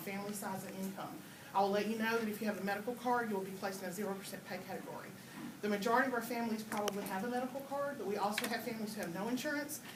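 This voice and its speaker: Over music in the background, a woman with an American accent talks at a very fast pace in a fairly high pitch, her intonation fairly even and the room echo audible. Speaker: nurse. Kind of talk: presentation to parents.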